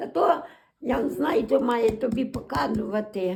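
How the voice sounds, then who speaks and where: The speaker goes at a fairly slow pace with a western Ukrainian accent. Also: woman. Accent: western Ukrainian rural dialect. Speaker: dialect informant. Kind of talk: dialect interview answer.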